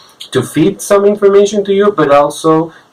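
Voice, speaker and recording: Moderate-paced speech from a man, with noticeable background noise. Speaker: film reviewer. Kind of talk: video review monologue. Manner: halting, many fillers and repetitions.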